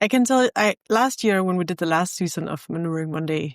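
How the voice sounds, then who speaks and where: The speaker talks with a Danish accent on a very clean recording with a silent background. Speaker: podcast host. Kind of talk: casual chat.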